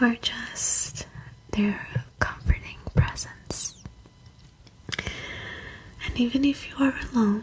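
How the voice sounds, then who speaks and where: Long, frequent pauses break up a woman's whispering. She goes at a very slow pace over noticeable background noise. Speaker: ASMR creator. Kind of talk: ASMR personal attention with positive affirmations. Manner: soft-spoken, slow, soothing.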